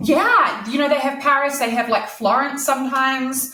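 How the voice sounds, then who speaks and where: The speech moves at a fairly quick pace. An audible room echo surrounds it. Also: woman. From New Zealand, Christchurch. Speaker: author. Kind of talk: interview. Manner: casual, many fillers.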